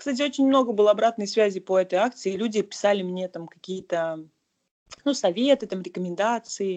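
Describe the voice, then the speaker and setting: A woman speaks at a moderate pace with a medium pitch and ordinary pitch variation, her loudness swinging widely. Long pauses come often, over a quiet background. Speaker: civic activist and marketer. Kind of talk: casual interview.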